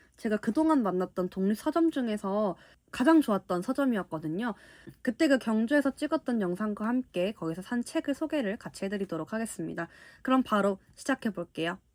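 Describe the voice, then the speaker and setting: In a very clean, dry, close recording with no echo and a silent background, a woman speaks at a fairly high pitch with very wide pitch swings. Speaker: book YouTuber. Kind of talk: casual book haul talk.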